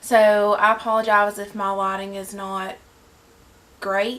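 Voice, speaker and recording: In a Southern US accent, the speech unfolds rather slowly. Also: woman. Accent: Southern US drawl. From Southern United States. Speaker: beauty vlogger. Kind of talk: casual talk to camera. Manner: chatty, enthusiastic.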